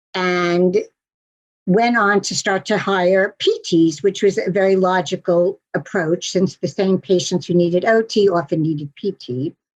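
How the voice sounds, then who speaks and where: A woman speaks in a normal speaking voice with an American accent, at a medium pitch and a fairly slow pace. Her intonation is fairly even, and the sound is dry and close with no echo. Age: 60s. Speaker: physical and occupational therapist, practice broker. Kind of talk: interview.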